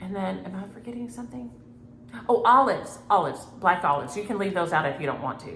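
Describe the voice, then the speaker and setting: In a Southern US accent, the speaker moves at a very fast pace, with very wide pitch swings and big swings in loudness. Noticeable background noise and audible room echo are present. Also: woman, medium pitch for a woman. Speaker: cross-stitch vlogger. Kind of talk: casual chat.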